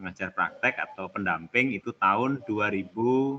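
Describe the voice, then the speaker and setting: With a Javanese accent, a man talks at a moderate pace in a relaxed, bright, sharp tone with ordinary pitch variation. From Central Java (Karanganyar, Solo). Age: 40s. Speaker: teacher trainer, school supervisor. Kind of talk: online training session. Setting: video call. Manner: informal, relaxed.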